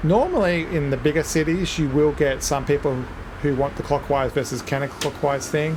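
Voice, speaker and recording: Noticeable background noise sits behind a man with an Australian accent and a fairly high pitch. His loudness stays very even, his intonation fairly even, and his pace moderate. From Australia, Melbourne. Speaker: gaming video creator. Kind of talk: gameplay commentary. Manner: casual, with fillers.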